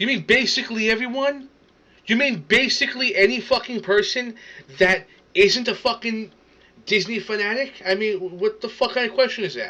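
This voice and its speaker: A man with a New York accent uses a raised, projected voice, high in pitch, with a bright, sharp, animated tone. He moves at a moderate pace, broken by long, frequent pauses. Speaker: reaction streamer. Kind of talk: casual reaction rant. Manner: animated, stammering.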